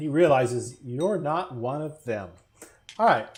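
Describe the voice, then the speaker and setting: Somewhat breathy and fairly high-pitched, a man speaks at a very slow pace. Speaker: tabletop game master. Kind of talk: tabletop role-play session.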